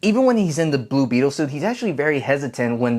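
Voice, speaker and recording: With an American accent, a man talks at a very fast pace in a very clean recording with a silent background. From US, Mexican descent. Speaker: film critic. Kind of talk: movie review.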